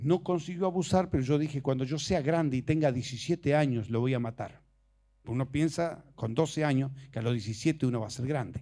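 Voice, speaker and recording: A man's fairly high-pitched voice with a dark, mellow tone and ordinary pitch variation, at a fairly quick pace, in a very clean recording against a silent background. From Argentina, Misiones province. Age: 60s. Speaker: preacher. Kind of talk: sermon.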